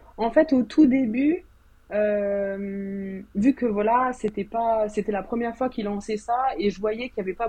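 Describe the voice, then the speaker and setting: At a fairly slow pace, a woman talks with a somewhat breathy, fairly high voice and ordinary pitch variation. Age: 30s. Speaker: novelist. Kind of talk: casual chat. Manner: calm; soft-spoken.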